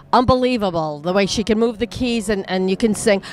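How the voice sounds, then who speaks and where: Music plays in the background as a woman talks. She has a New York accent and ordinary pitch variation. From US, New York. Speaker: show host. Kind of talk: interview. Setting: music venue.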